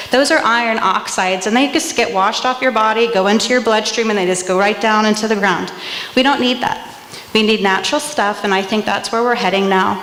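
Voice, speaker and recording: At a fairly quick pace, a woman speaks with a fairly high pitch, ordinary pitch variation and very even loudness, with audible room echo and noticeable background noise. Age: 40s. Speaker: small business owner, soap maker. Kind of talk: pitch presentation.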